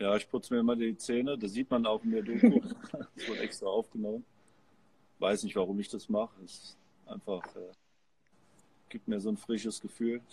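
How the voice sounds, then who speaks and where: Loudness rises and falls sharply as a man talks. His moderate pace is broken by long, frequent pauses. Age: 20s. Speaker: professional volleyball player. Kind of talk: interview. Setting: remote call from a sports arena.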